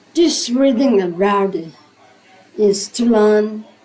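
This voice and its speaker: With a non-native accent, a woman at a medium pitch speaks at a very slow pace amid noticeable background noise. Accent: non-native, own. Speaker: English learner. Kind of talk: reading aloud of a religious book. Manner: hesitant, repeats words.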